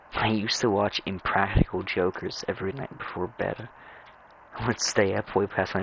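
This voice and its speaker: With a very deep, low pitch and fairly even intonation, a man talks at a fairly quick pace. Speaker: gaming video creator. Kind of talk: casual gameplay commentary. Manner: halting, repeats words.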